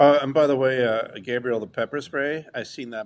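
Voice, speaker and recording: A man with a plain, everyday voice at a medium pitch and a moderate pace. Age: 50s. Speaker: podcast host, martial arts practitioner. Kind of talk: casual chat.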